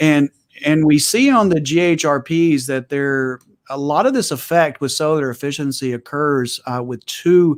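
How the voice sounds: Moderate pace with a West Texas accent and ordinary pitch variation. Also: man, fairly high pitch for a man.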